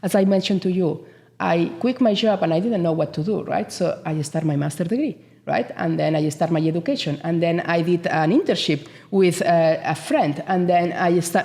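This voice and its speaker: Speaking in a strong Spanish accent, a woman has a fairly low pitch, a dark, mellow tone and ordinary pitch variation. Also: moderate pace. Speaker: business association CEO. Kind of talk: interview. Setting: studio. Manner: animated.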